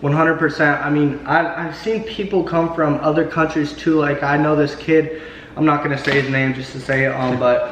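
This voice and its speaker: With fairly even intonation and a fairly high pitch, a man talks at a moderate pace while noticeable background noise and audible room echo fill the recording. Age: 20s. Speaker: YouTube host, forex trader. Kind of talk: casual interview. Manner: casual, filler-heavy.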